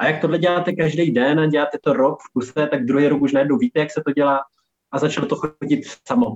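This man speaks at a very fast pace. His pitch is fairly high, with ordinary variation. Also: dry, close sound with no echo. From Czechia, Olomouc. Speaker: healthy lifestyle consultant and chef. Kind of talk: interview. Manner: casual, filler-heavy.

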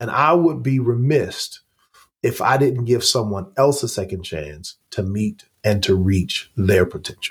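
At a fairly slow pace, a somewhat breathy man with an American accent speaks at a medium pitch and with lively intonation. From Oklahoma. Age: 40s. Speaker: pastor and former college football player. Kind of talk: interview conversation.

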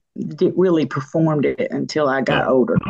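With an unremarkable speaking voice, a woman talks at a fairly slow pace with lively intonation. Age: 60s. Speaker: singer and songwriter. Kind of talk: interview.

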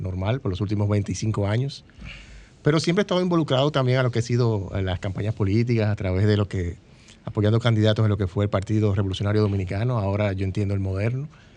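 A man's fairly low, dark and mellow voice at a very fast pace, with ordinary pitch variation. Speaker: candidate for congress. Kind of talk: interview.

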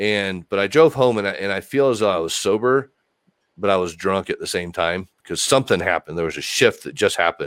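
At a fairly quick pace, a man with an American accent uses a plain, everyday voice, a fairly low pitch and lively intonation, the sound dry and close with no echo. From Texas. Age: 40s. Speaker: recovery coach in recovery from addiction. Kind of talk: interview on a recovery podcast.

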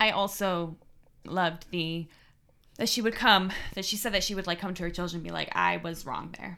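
The woman's bright, sharp tone carries vocal fry and fairly even intonation at a moderate pace, in a very clean recording with a silent background. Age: 20s. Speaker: podcast co-host, daughter. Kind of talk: casual chat.

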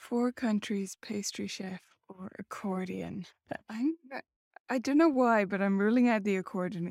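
A woman speaks in a plain, everyday voice at a medium pitch, with ordinary pitch variation. The sound is dry and close, with no echo. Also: moderate pace. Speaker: podcast host. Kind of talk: casual interview chat.

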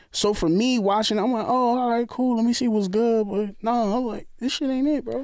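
At a moderate pace, a man with an American accent speaks at an extremely high pitch with fairly even intonation. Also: very even loudness. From New York. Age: 30s. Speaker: co-worker of host. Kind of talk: casual chat.

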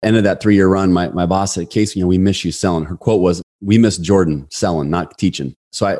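The voice has a dark, mellow tone, moving at a very fast pace with ordinary pitch variation. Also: man. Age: 40s. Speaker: sales and leadership coach, author. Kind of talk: casual chat.

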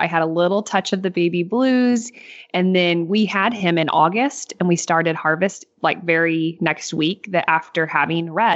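In an ordinary speaking voice, a woman with a fairly low pitch talks at a moderate pace with hardly any pauses, very even loudness, and ordinary pitch variation. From Northeast Missouri. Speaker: farmer and podcast co-host. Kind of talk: casual interview.

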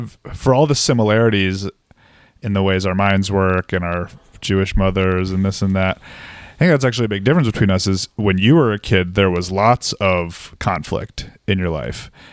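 A man with a fairly low pitch uses a normal speaking voice, talking at a moderate pace with ordinary pitch variation. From Massachusetts. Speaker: psychiatrist. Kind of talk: casual chat. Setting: video call.

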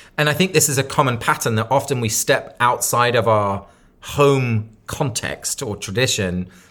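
On a very clean recording with a silent background, a man at medium pitch speaks at a moderate pace with a southern English accent, lively intonation and a bright, sharp tone. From southern England (Sussex). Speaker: author and community leader. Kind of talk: interview conversation.

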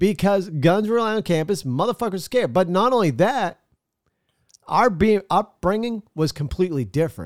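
A man with a New England accent speaks at a high pitch in an animated tone, his intonation lively and his loudness very even, on a very clean recording with a silent background and a dry, close sound with no echo. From Maine, US. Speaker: podcast host. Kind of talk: casual opinionated talk show. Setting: live streamed show. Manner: animated, profane.

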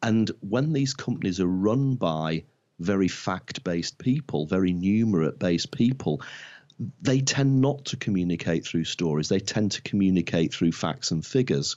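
Lively intonation carries this Lancashire accent along at a moderate pace. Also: man, fairly low pitch for a man. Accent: northern English (Lancashire). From northwest England (Blackpool). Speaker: marketing consultant. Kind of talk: interview. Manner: halting.

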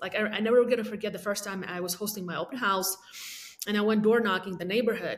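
Speaking with a non-native accent, a woman talks at a very fast pace with a medium pitch and fairly even intonation. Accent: foreign-accented English. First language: not English (third language). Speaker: realtor and team leader. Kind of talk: interview.

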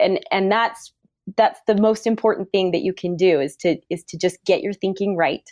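A woman with a normal speaking voice and ordinary pitch variation. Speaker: dental practice coach. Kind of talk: casual chat.

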